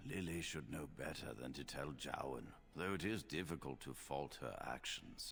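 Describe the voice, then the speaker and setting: Clear background noise runs under the recording. A man uses a put-on character voice at a fairly slow pace. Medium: short film. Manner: measured, authoritative.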